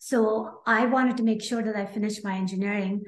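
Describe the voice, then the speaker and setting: In a Pakistani accent, a woman talks at a fairly quick pace with a medium pitch and a somewhat breathy sound. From Pakistan (Karachi). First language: Urdu. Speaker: aerospace engineer and health coach. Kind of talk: interview.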